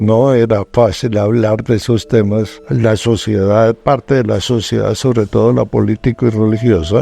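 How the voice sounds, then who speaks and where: Music plays behind a man speaking in a fairly low voice at a fairly slow pace. His intonation is fairly even, his loudness very even, and he hardly pauses. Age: 70s. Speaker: paranormal TV journalist. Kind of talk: interview testimony.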